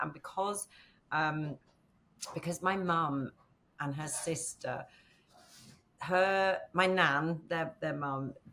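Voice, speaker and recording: At a very slow pace, a woman with a bright, sharp tone and fairly low pitch speaks in fairly even intonation, broken by long, frequent pauses. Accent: Northern English. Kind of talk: interview answer. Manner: casual, conversational.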